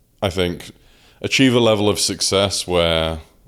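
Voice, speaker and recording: Using vocal fry, a man with a southern English accent speaks at a moderate pace with ordinary pitch variation. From southern England (Oxford). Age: 20s. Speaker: powerlifter. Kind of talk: casual chat.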